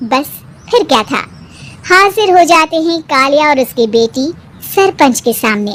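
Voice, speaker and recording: Using a cartoonish character voice, a woman speaks at a high pitch with very wide pitch swings. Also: moderate pace. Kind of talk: moral story narration.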